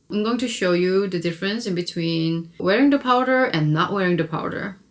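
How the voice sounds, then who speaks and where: A woman with a Korean accent speaks at a moderate pace. Her medium pitch shows ordinary variation. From South Korea. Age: 30s. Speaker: beauty vlogger. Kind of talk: makeup tutorial. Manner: casual, conversational.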